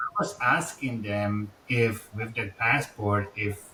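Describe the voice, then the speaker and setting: Over noticeable background noise, a man with a Czech accent speaks at a fairly low pitch with fairly even intonation. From Czech Republic. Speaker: insurance salesperson. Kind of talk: casual interview.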